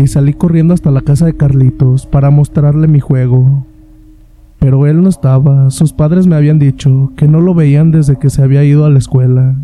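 A somewhat breathy voice with a dark, mellow tone, very even loudness and monotone, flat intonation. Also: man, fairly high pitch for a man, moderate pace. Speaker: horror story podcast host. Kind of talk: scripted narration.

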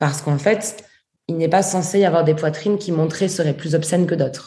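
A woman's somewhat breathy, dark and mellow voice with ordinary pitch variation. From southern France. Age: 20s. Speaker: feminist activist and author. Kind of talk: interview.

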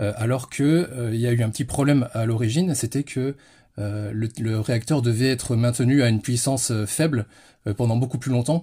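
Somewhat breathy, the voice carries a dark, mellow tone. Its intonation is fairly even and its pace moderate. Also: man, medium pitch for a man. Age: 30s. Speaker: history enthusiast. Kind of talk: interview. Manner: halting.

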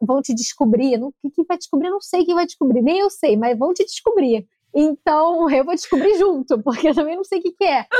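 At an extremely high pitch yet with a dark, mellow tone, a woman speaks at a moderate pace with lively intonation and hardly any pauses, the sound dry and close with no echo. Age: 20s. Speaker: content creator. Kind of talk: casual chat.

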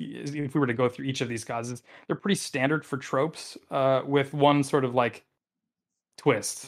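Silent background, very clean recording. A man talks at a fairly high pitch and a fairly quick pace. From central Wisconsin. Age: 30s. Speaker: tabletop game master. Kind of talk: casual interview.

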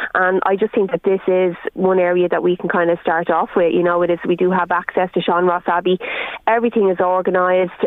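A woman with an Irish accent speaks at a fairly quick pace and a medium pitch, with very even loudness. Her intonation is monotone and flat, and noticeable background noise is present. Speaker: concert organiser and campaigner. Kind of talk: radio phone interview. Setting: phone call.

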